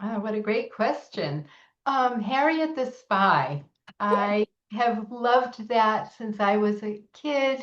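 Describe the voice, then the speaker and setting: A woman's fairly high voice with lively intonation and an American accent, at a very slow pace. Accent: Boston accent, occasional. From Massachusetts, Boston area. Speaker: children's book author. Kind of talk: author interview. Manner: hesitant, many fillers.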